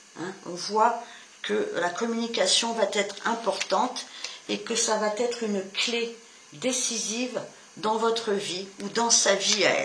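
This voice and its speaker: Amid noticeable background noise and audible room echo, a woman speaks at a very slow pace with fairly even intonation. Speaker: tarot reader. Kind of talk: tarot reading to camera. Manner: stumbling with fillers.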